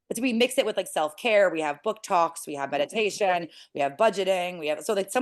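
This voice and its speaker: A woman at a medium pitch, fairly quick pace and ordinary pitch variation against a quiet background. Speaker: nonprofit founder. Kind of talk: interview. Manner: fast.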